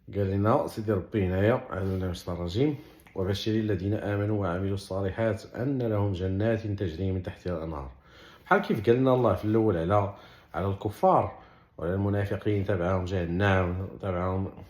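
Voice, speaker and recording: Talking at a fairly quick pace with a Moroccan accent, a man keeps a fairly low pitch and fairly even intonation. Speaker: Quran explainer. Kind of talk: religious explanation in colloquial dialect. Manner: casual, conversational.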